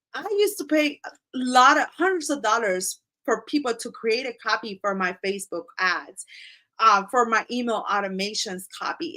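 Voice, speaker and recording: A woman speaks in a Spanish accent at a fairly high pitch. Her tone is bright and sharp, with very wide pitch swings. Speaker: business coach and content creator. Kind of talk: live tutorial. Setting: livestream. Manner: animated.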